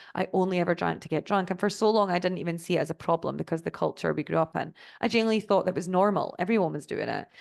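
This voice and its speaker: With a Scottish accent and vocal fry, a woman talks at a very fast pace with fairly even intonation and hardly any pauses. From Scotland. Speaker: sobriety life coach. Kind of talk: online master class presentation.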